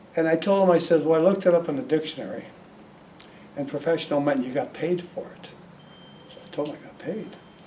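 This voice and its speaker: Talking at a very fast pace with ordinary pitch variation, the speaker leaves long, frequent pauses and shows big swings in loudness. Noticeable background noise runs underneath. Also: man, high pitch for a man. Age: 80s+. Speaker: hypnotist. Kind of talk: talk to audience.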